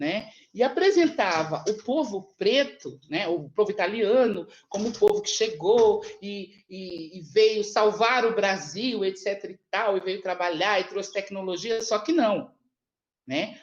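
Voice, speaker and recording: A woman's medium-pitched voice at a fairly slow pace, with lively intonation and big swings in loudness. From Brazil, São Paulo. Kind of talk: panel talk. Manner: halting, many repetitions.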